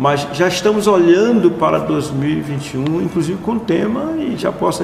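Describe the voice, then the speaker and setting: Fairly quick speech amid noticeable background noise and audible room echo. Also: man. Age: 70s. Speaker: pastor and conference founder. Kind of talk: interview.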